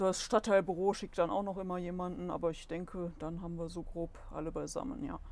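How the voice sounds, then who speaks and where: The woman has a plain, everyday voice at a medium pitch. She talks at a fairly quick pace. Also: ordinary pitch variation. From Solingen-Ohligs, Rhineland, Germany. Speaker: goldsmith and shop owner, local business association member. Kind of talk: casual interview.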